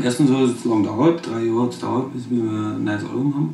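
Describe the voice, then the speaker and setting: With a Bavarian accent, a man speaks at a medium pitch and a moderate pace, with ordinary pitch variation. Background noise is noticeable. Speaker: rapper. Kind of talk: interview answer.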